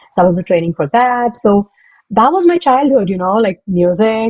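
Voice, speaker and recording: A woman is speaking. She has a Tamil accent. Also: dry, close sound with no echo. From South India, Hyderabad. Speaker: product manager and public speaker. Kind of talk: interview.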